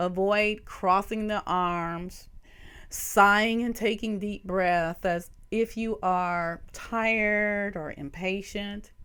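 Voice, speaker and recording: A woman with a Southern US accent speaks very slowly at a medium pitch, her bright, sharp tone carried on fairly even intonation in a very clean recording with a silent background. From US South. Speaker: nursing professor. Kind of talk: lecture.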